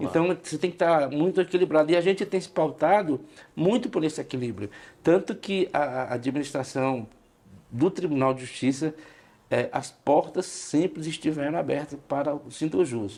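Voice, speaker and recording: Here a man speaks at a moderate pace with a fairly high pitch. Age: 60s. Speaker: union leader. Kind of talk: podcast interview. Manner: hesitant, with frequent fillers.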